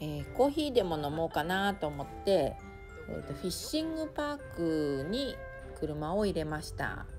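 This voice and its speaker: Music plays in the background as a woman talks at a moderate pace in a relaxed tone. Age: 50s. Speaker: vlogger. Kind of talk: travel vlog narration. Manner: relaxed, casual.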